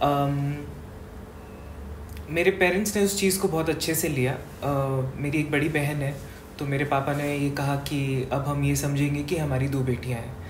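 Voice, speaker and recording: A woman speaks in a very deep, low pitch with long, frequent pauses. Room echo is audible. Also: ordinary pitch variation. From Rajasthan, India (Bikaner). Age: 20s. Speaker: event anchor and actor. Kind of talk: interview. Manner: hesitant, many fillers.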